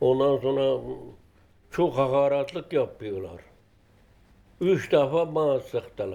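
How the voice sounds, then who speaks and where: This man's pitch is fairly high, his tone dark and mellow, and his intonation lively. He talks at a very slow pace with long, frequent pauses. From Turkey, rural Alevi village. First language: Turkish (speaking French). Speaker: elderly migrant, former shepherd. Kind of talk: documentary interview.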